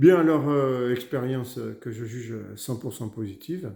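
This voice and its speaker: A man speaks at a medium pitch with a dark, mellow tone. His pace is moderate. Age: 60s. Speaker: customer giving a testimonial. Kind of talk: testimony. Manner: halting, many hesitations.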